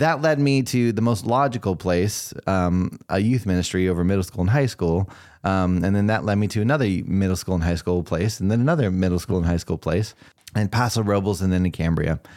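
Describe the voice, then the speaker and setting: With an American accent, a man with a fairly low pitch talks at a fairly quick pace and ordinary pitch variation, his loudness very even on a very clean recording with a silent background. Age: 40s. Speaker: youth pastor. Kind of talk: interview. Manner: measured, thoughtful; calm, low-key.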